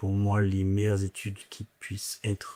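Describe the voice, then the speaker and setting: The pace is very slow. The sound is dry and close, with no echo. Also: man. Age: 20s. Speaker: business school student, former youth footballer. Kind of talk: interview testimony. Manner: hesitant, many fillers.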